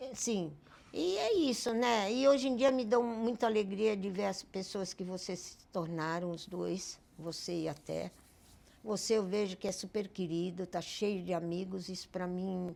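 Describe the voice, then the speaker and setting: Fairly slow speech from a woman with a dark, mellow tone and big swings in loudness. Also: medium pitch for a woman, ordinary pitch variation. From Belém do Pará, northern Brazil. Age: 80s+. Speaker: retired teacher and volunteer, host's mother. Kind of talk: casual family podcast chat.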